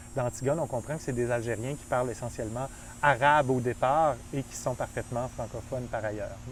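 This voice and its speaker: A man in a Quebec accent, with fairly even intonation. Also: medium pitch for a man, fairly quick pace. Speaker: film professor. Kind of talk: interview conversation.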